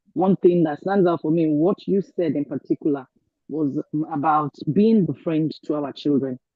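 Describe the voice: In a dry, close recording with no echo, a woman talks at a moderate pace in a low pitch with ordinary pitch variation.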